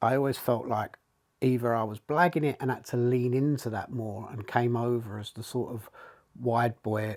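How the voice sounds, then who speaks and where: At a moderate pace, a man in an East London accent speaks with medium pitch and ordinary pitch variation. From England, East London. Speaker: leadership coach. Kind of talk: casual chat.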